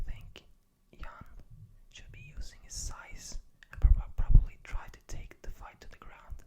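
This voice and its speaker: Someone whispers at a fairly slow pace. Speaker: ASMR creator. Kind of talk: whispered ASMR ramble about a fight card. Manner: whispered.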